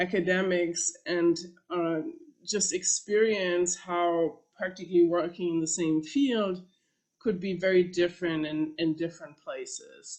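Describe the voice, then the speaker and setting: A woman with a German accent, fairly low-pitched, fairly even in intonation, at a fairly slow pace. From Germany. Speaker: professor. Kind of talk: panel talk. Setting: panel presentation with slides. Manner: halting, many fillers.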